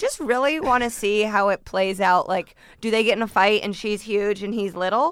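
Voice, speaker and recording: With an American accent, a woman talks in an ordinary speaking voice at a medium pitch and moderate pace, with ordinary pitch variation. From US Midwest. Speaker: comedian. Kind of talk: casual chat. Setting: studio.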